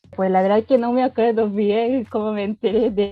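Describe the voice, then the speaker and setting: A woman is speaking. She has a Japanese accent. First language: Japanese (speaking Spanish). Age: 20s. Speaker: university student. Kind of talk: interview. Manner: halting, with hesitations.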